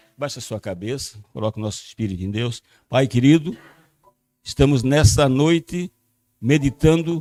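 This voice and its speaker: Recorded dry and close with no echo, a man's medium-pitched voice has a dark, mellow tone, lively intonation and big swings in loudness. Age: 80s+. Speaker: pastor. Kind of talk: sermon.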